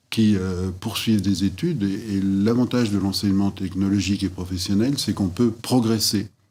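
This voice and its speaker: Over a very clean recording with a silent background, a man speaks at a moderate pace in a fairly low pitch with fairly even intonation. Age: 60s. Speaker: former school headmaster. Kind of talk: interview testimony. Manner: halting, many hesitations.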